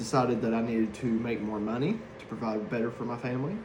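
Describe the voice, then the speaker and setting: The talk comes at a fairly quick pace with an East Tennessee accent. Room echo is audible, and background noise is noticeable. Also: man. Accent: Southern US (East Tennessee). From US South, East Tennessee (Harriman). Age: 30s. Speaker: hazardous waste worker, former correctional officer. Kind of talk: class introduction speech. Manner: hesitant, with many fillers.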